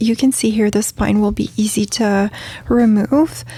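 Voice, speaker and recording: A woman's voice sits fairly high, with ordinary pitch variation. Her tone is relaxed. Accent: French. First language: French. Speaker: craft video creator. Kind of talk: tutorial. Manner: relaxed with many fillers.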